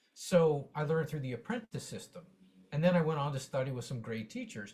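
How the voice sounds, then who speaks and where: A man with an American accent talks at a fairly quick pace in a fairly high pitch. His voice is somewhat breathy and his intonation lively. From US West, Las Vegas. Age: 60s. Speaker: drummer and music teacher. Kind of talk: Q&A question in an online workshop. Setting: video call. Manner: animated; halting.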